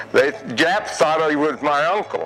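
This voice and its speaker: A man speaks with lively intonation at a fairly high pitch. Music plays in the background. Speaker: World War II veteran. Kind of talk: interview answer.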